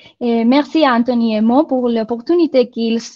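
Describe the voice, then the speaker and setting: A woman with a non-native accent speaks at a very slow pace. Her voice is high, with ordinary pitch variation. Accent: foreign accent in French. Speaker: marketing software country manager. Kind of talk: webinar presentation. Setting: online webinar.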